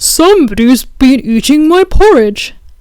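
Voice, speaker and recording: A woman puts on a character voice pitched high. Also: moderate pace. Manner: gruff, indignant.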